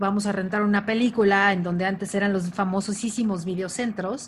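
A woman speaks at a medium pitch and a moderate pace. Her voice is somewhat breathy, with fairly even intonation. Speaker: podcast co-host. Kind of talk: casual chat.

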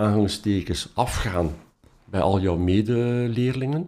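On a very clean recording with a silent background, a man with a Flemish accent speaks at a fairly low pitch in a dark, mellow tone, with ordinary pitch variation. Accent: Flemish Dutch. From Belgium, Ghent. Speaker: professor of mathematics and philosophy. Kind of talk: interview, personal story. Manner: hesitant, many fillers.

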